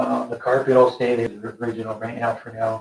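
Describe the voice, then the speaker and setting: At a fairly quick pace, a man of medium pitch speaks in a somewhat breathy, monotone voice with flat intonation. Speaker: mechanic restoring trucks. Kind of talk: casual project update. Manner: fast.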